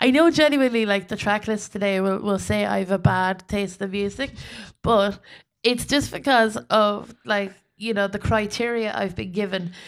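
A woman speaks in an Irish Midlands accent at a moderate pace, her pitch medium with ordinary variation. The recording is very clean with a silent background. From Ireland, County Westmeath. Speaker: comedian. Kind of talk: casual chat.

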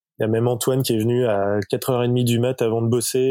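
A man speaks at medium pitch in a flat monotone. The recording is very clean with a silent background. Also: dry, close sound with no echo. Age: 40s. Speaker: cycling product designer. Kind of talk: casual interview.

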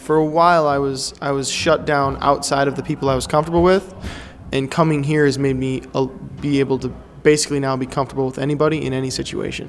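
A man speaks at a very fast pace with fairly high pitch. His intonation is monotone and flat, with noticeable background noise. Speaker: improv classmate. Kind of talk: casual chat.

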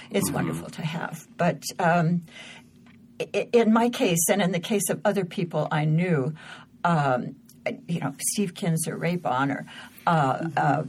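Somewhat breathy and fairly low in pitch, a woman speaks at a fairly slow pace with ordinary pitch variation and long, frequent pauses. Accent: American. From Southern California, outside Los Angeles. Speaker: journalist and author, former war correspondent. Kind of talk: interview conversation. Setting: studio.

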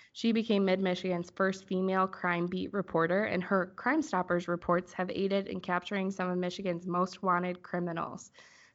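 Quiet behind her, a woman with an unremarkable speaking voice and medium pitch talks at a moderate pace with hardly any pauses. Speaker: podcast host. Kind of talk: interview.

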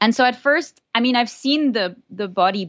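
A woman's normal speaking voice, lively in intonation, at a moderate pace. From southern France, born in Florida. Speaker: neuroscience researcher. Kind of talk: interview, casual chat.

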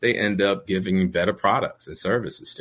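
Here is a man with a plain, everyday voice and an American accent. He talks at a fairly low pitch and a fairly quick pace. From New York City, Brooklyn. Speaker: corporate lawyer and author. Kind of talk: interview.

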